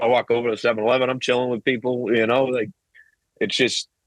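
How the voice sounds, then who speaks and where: Speaking with a Boston accent at a very fast pace, a man keeps a medium pitch and monotone, flat intonation, the sound dry and close with no echo. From Massachusetts, Boston area (Weymouth). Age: 30s. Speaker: hip hop artist. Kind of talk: casual chat.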